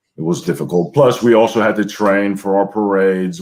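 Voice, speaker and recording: This man has an American accent and a very deep, low pitch. He speaks with monotone, flat intonation. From US. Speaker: former Greek presidential guard soldier. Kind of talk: interview.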